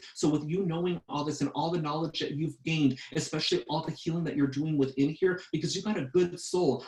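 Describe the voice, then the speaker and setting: Noticeable background noise sits behind a man with an American accent. He talks at a very fast pace with fairly even intonation. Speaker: psychic medium. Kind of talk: psychic reading. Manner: repetitive, filler-heavy.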